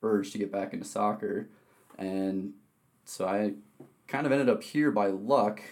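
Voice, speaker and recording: A man's fairly low, dark and mellow voice with an American accent, fairly slow, with ordinary pitch variation. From Wisconsin. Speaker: athletic trainer. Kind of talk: interview.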